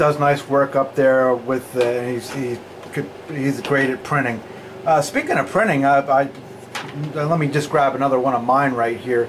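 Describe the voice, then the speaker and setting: A man's fairly high voice at a moderate pace, fairly even in intonation, with long, frequent pauses and noticeable background noise. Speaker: pinball repair technician. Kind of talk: casual chat.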